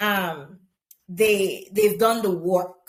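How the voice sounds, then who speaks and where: In a Caribbean accent, a woman with a fairly high pitch speaks at a very slow pace. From Grenada, rural. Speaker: teacher. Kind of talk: interview conversation.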